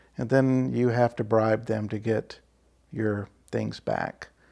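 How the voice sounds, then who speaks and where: Against a quiet background, a man talks in a fairly low pitch. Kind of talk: interview answer. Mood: calm, reflective. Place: home room. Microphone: lapel.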